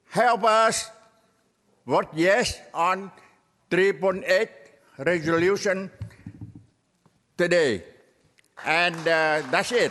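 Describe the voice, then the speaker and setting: With ordinary pitch variation, the speech moves at a very slow pace. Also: man. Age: 70s. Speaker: public commenter at city council meeting. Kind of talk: public comment speech. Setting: city council chamber.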